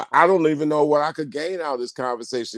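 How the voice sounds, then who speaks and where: The man's pitch is fairly high for a man. He talks at a very fast pace. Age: 60s. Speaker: caller. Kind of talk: casual chat. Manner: animated; halting.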